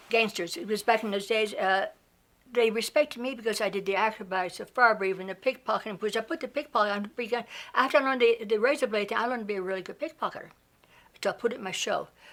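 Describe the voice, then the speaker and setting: A woman's fairly high voice at a very fast pace, with ordinary pitch variation. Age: 70s. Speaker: burlesque performer and producer. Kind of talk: interview. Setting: studio. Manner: halting.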